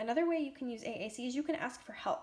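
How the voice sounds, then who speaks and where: Ordinary pitch variation marks this woman's speech. She talks at a fairly quick pace. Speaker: speech-language therapist. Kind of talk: tutorial.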